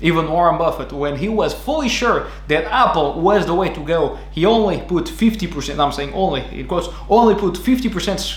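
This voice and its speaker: With a strong Portuguese accent, a man talks at a fairly quick pace amid noticeable background noise and audible room echo. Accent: thick Portuguese. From Portugal. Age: 20s. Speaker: podcast host. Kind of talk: podcast monologue. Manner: halting.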